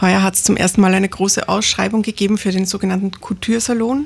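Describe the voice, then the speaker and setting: Somewhat breathy, a woman speaks in a flat monotone at medium pitch. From Lower Austria, near St. Pölten. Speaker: master tailor and fashion designer. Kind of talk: radio interview.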